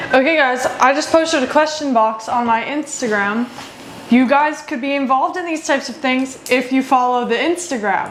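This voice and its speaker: A woman talks at a moderate pace in a high pitch with ordinary variation. Audible room echo and noticeable background noise are present. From US (born in Costa Rica, moved as a small child). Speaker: vlogger. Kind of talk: casual chat.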